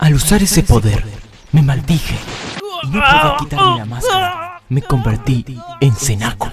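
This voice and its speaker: A man puts on a character voice, pitched fairly high, at a moderate pace. Music plays clearly in the background. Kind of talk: dramatic storytelling narration.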